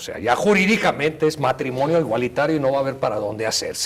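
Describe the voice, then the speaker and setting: Here is a man with a fairly high, somewhat breathy voice. His intonation is lively. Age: 60s. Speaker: family law attorney. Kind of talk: TV interview. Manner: halting, with fillers.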